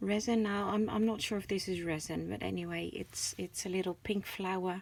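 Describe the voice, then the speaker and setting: With a Dutch accent, a woman speaks at a fairly quick pace. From Netherlands. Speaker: crafter, channel owner. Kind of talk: craft show-and-tell. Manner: hesitant, many fillers.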